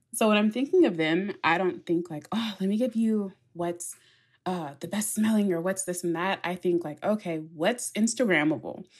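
A woman's normal speaking voice at a medium pitch, moderate pace, and ordinary pitch variation. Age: 20s. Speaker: fragrance influencer. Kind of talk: casual chat.

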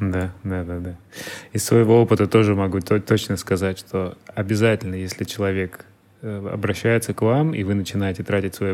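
At a moderate pace, a man speaks in a normal speaking voice, fairly low in pitch with fairly even intonation. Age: 30s. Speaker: podcast host. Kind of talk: interview.

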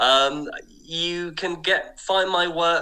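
There is noticeable background noise as a man talks with an English accent. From southern England, Kent. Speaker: historical researcher and writer. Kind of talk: radio interview. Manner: hesitant, with fillers.

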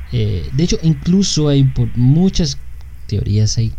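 Someone with a Mexican accent speaks at a fairly slow pace over noticeable background noise. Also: man. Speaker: podcast co-host. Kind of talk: casual chat. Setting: live stream.

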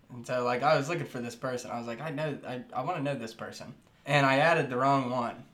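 A man talks very fast at a medium pitch with fairly even intonation. Noticeable noise sits in the background. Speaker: podcast co-host. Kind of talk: casual chat.

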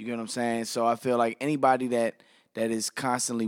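With an American accent, a plain, everyday voice speaks at a fairly quick pace on a very clean recording with a silent background. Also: man. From Washington DC. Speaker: radio and TV personality. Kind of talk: casual chat.

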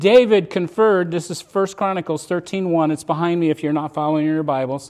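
A very clean recording with a silent background carries speech at a moderate pace. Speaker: pastor. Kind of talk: sermon. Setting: church. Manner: self-deprecating, stumbles on words.

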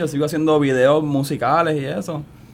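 A man with a fairly high voice talks while noticeable noise fills the background. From Puerto Rico, San Juan. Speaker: actor. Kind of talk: radio interview.

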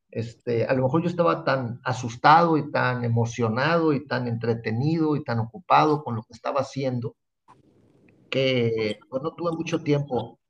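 Speaking at a moderate pace, a man with a medium pitch sounds somewhat breathy and shows ordinary pitch variation. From Mexico, Tampico, Tamaulipas. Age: 60s. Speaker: TV fishing show host and professional angler. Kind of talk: interview.

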